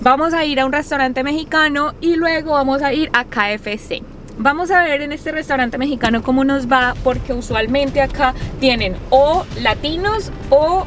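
A woman's high-pitched voice with lively intonation at a moderate pace, dry with no echo, with music in the background. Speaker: YouTuber living in Australia. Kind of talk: casual talk to camera. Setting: vlog, in car. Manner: conversational, upbeat. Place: car. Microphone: phone near.

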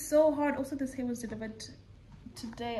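A woman is speaking. There is light background noise. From South Africa. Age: 20s. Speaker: vlogger and kindergarten English teacher; vlogger, kindergarten English teacher. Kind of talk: casual vlog narration. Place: home room. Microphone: phone near.

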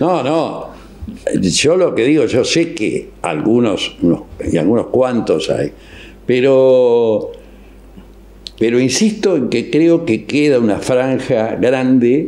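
A very slow man with a Rioplatense accent at medium pitch, with long, frequent pauses, very even loudness and noticeable background noise. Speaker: radio host. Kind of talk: casual interview. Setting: studio. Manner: animated.

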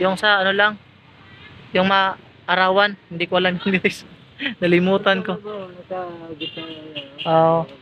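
Using a raised, projected voice, a man speaks at a high pitch and a fairly slow pace with monotone, flat intonation and long, frequent pauses, the sound dry with no echo over light background noise. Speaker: vlogger. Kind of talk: casual talk to camera. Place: workshop. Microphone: phone near.

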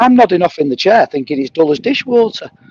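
A man with a Mancunian accent talks at a very fast pace with very wide pitch swings, in a dry, close sound with no echo and noticeable background noise. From Manchester, northern England. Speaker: livestream chat participant. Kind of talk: casual chat.

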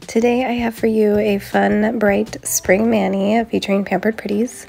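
A woman talks fairly slowly as music plays underneath. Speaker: nail tutorial creator. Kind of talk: casual talk to camera.

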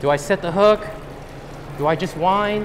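A man speaks in a high voice. Light background noise can be heard. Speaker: presenter. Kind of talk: lecture. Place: hall.

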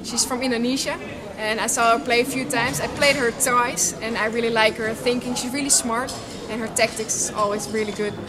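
Noticeable background noise around a woman's fairly quick speech. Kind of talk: interview answer. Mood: cheerful, relaxed.

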